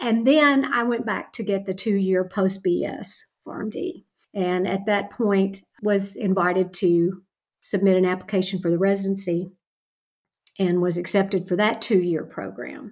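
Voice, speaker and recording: An unremarkable speaking voice, from a woman with an American accent at a medium pitch. She talks at a fairly slow pace with ordinary pitch variation. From Kentucky, US. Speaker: retired pharmacy professor. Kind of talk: interview.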